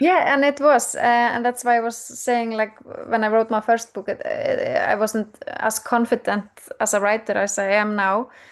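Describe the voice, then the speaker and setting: Against noticeable background noise, a woman with a fairly high pitch talks at a moderate pace in a fairly even intonation. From Iceland. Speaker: crime fiction author. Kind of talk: interview. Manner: halting.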